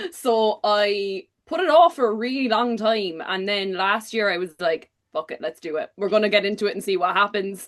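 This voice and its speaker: Speaking in a Cork accent, a woman at a medium pitch moves at a moderate pace with lively intonation and hardly any pauses. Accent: Cork Irish. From Ireland, Cork. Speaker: book content creator. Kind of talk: casual chat.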